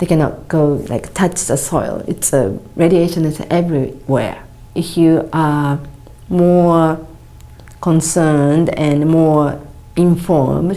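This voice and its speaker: Very slowly, a woman speaks with a Japanese accent, her pitch very deep and low and her intonation fairly even. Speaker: charity founder. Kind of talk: appeal for support. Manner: halting.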